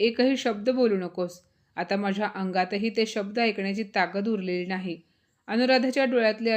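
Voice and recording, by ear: The speaker is reading aloud in a natural voice. Pitch variation is ordinary, and the background is quiet.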